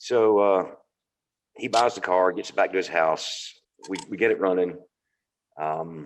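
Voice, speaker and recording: In a Southern accent, a man speaks with a very deep, low pitch and ordinary pitch variation. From US South, North Carolina. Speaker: car enthusiast. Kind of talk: casual interview. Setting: video call.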